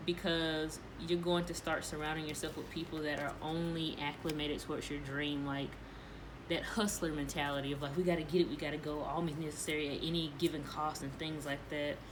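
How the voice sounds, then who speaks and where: A woman talks at a fairly quick pace with a very deep, low pitch and monotone, flat intonation. Room echo is audible, and background noise is noticeable. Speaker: tarot reader. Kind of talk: tarot reading monologue. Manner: fast.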